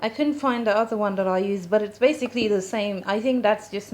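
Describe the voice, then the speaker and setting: There is noticeable background noise as a woman speaks at medium pitch with ordinary pitch variation. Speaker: beauty vlogger. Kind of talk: tutorial. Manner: casual.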